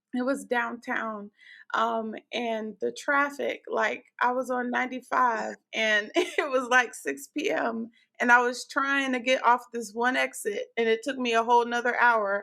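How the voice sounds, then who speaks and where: A woman's high-pitched voice, bright and sharp in tone, with ordinary pitch variation at a fairly slow pace. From New Jersey (Newark), then moved around the South. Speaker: podcast host, physician assistant. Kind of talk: casual chat.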